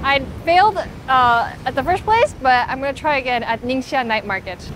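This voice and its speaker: Over noticeable background noise, a woman speaks with lively intonation and a high pitch. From South Korea. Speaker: food vlogger. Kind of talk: food vlog narration. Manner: animated.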